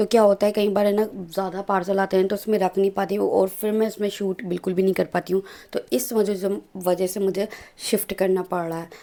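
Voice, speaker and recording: Monotone, flat intonation pairs with a dark, mellow tone in this voice. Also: woman, medium pitch for a woman, moderate pace. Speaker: vlogger. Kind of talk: casual vlog talk. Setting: at home.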